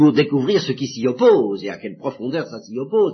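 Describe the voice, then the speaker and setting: Pitch swings very widely in this man's somewhat breathy voice. His pace is moderate. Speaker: priest giving religious instruction. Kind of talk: lecture. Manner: halting.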